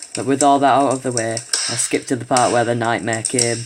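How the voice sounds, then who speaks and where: A man talks at a fairly quick pace and medium pitch, with fairly even intonation. Background noise is noticeable. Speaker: horror story narrator. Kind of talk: horror story reading.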